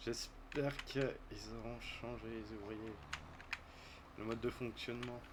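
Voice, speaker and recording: Amid audible room echo and noticeable background noise, a man speaks at a very slow pace with long, frequent pauses. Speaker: gaming youtuber and farmer. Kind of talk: gameplay commentary. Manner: casual.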